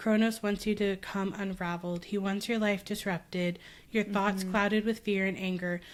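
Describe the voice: Someone reads plainly aloud. Their intonation holds fairly even.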